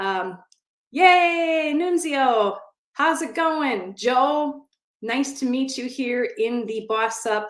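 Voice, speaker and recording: Her pitch swinging very widely, a woman speaks in an animated tone with a Midwestern accent. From US Midwest, Wisconsin. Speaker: SBA loan consultant. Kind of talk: live online event talk. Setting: online audio room.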